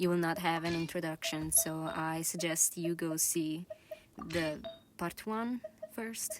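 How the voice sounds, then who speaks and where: Noticeable background noise accompanies a woman with an Italian accent who speaks fairly slowly, at fairly low pitch, with fairly even intonation. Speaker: gaming youtuber. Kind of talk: casual gameplay commentary. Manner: hesitant, many fillers.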